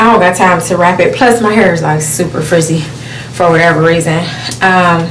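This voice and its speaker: The delivery is fairly quick, with very even loudness and ordinary pitch variation. Noticeable background noise and audible room echo surround it. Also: woman, fairly low pitch for a woman. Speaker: flight attendant vlogger. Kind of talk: casual vlog. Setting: airport and aircraft. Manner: fast.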